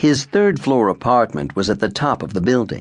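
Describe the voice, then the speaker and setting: A man with vocal fry speaks at a moderate pace and medium pitch against a quiet background. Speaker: audiobook narrator. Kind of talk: audiobook narration.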